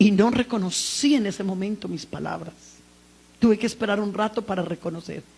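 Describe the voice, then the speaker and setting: Over noticeable background noise, a woman talks at a fairly quick pace. Her pitch is medium, with ordinary variation. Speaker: preacher. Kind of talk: sermon. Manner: loud.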